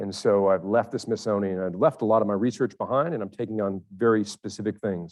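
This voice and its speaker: Hardly pausing, a man with an unremarkable speaking voice talks at a fairly quick pace. His pitch is fairly low with ordinary variation. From Connecticut, US Northeast. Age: 50s. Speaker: ornithologist and ecology professor. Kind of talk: panel discussion. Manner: casual, with some repetition.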